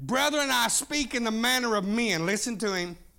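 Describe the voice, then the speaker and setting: A man with an American accent speaks in a raised, projected voice at a fairly slow pace, high-pitched with a bright, sharp, animated tone. His intonation is lively, and room echo is audible. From Oklahoma. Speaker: pastor. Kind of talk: sermon. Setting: church.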